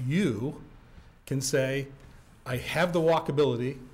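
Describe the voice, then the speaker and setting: Vocal fry runs through a man's voice, which has an American accent and ordinary pitch variation. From Maine, US (Orono). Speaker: building owner speaking at public comment. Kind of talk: public comment at town meeting. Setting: town planning board meeting, at a mic.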